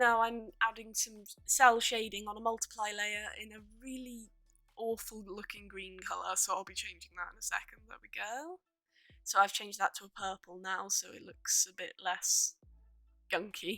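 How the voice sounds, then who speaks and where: Over music in the background, a woman with a fairly high pitch speaks at a moderate pace, using ordinary pitch variation and big swings in loudness. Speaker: digital artist. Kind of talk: tutorial. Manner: halting, stammering.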